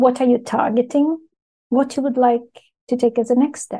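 A woman is speaking. Her tone is dark and mellow. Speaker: podcast host. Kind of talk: interview.

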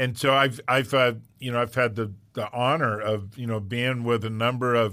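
A man at medium pitch uses an unremarkable speaking voice with fairly even intonation. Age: 60s. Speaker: podcast host and pastor. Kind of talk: casual interview chat.

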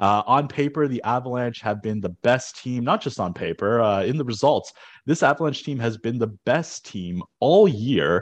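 A man speaks in a plain, everyday voice with a Canadian accent, his pitch medium and his intonation lively. He talks at a moderate pace over a quiet background. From Canada. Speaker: sportsbook odds maker. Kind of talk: casual chat. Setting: at home.

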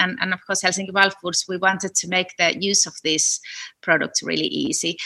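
A woman speaks at a moderate pace with a Finnish accent. Her tone is bright and sharp. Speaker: food entrepreneur, food scientist. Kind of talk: interview. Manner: halting, repeats words.

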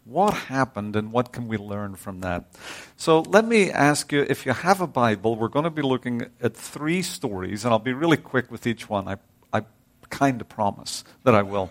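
The speaker has a Northern Irish accent and lively intonation at a moderate pace. The recording is very clean, with a silent background. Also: man, medium pitch for a man. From Northern Ireland. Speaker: visiting preacher. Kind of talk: sermon. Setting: church.

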